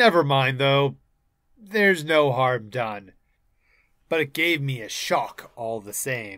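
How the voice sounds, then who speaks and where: A man puts on a medium-pitched character voice with lively intonation and big swings in loudness, speaking at a fairly slow pace with long, frequent pauses on a very clean recording with a silent background. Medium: read story. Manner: slow, hesitant.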